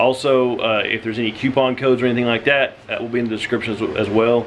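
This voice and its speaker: A man talks at a very fast pace with fairly even intonation. Light background noise can be heard. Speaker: family vlogger. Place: home room. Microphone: phone near.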